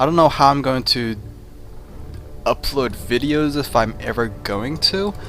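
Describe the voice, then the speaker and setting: A man talks at a fairly slow pace with ordinary pitch variation and long, frequent pauses while music plays in the background. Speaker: game commentator. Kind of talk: casual talk to camera.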